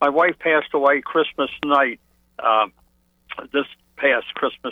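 An American-accented man with fairly high pitch and fairly even intonation. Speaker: caller. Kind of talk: phone-in question. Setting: phone call. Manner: halting.

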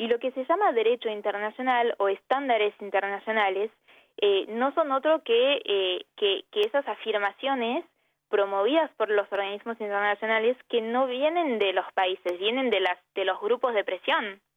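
This voice speaks at a moderate pace with an Argentine accent. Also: woman, fairly high pitch for a woman, ordinary pitch variation. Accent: Argentine Spanish, unmistakable. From Brittany, France and Argentina. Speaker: human rights advocate. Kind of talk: radio interview.

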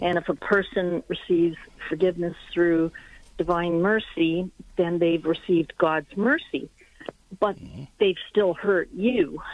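A woman talks at a fairly low pitch and a fairly slow pace. Hers is an unremarkable speaking voice, with ordinary pitch variation. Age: 50s. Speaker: caller, retired psychiatrist. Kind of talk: personal testimony on call-in show.

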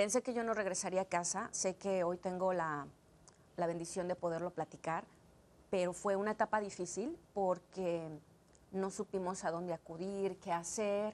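A woman with an unremarkable speaking voice, medium pitch, moderate pace and fairly even intonation. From Mexico City, Mexico, then Los Angeles from age 11. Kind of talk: interview testimony. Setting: studio.

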